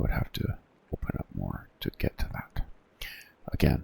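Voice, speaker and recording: A relaxed whisper at a fairly slow pace, with noticeable background noise. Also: man. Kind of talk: ASMR-style soft-spoken gaming tutorial. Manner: soft-spoken, relaxed, with frequent filler words.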